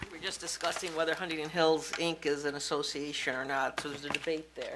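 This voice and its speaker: A very fast woman in an American accent, very deep and low in pitch, monotone and flat, over noticeable background noise. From western New York, near Rochester. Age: 60s. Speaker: resident speaking at public input. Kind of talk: public comment, reading a resolution.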